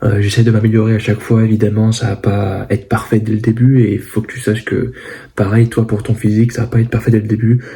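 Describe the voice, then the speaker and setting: This soft-spoken man has a medium pitch. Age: 20s. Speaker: fitness coach and vlogger. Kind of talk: casual vlog to camera. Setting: at home, parents' house. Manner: hesitant, many fillers.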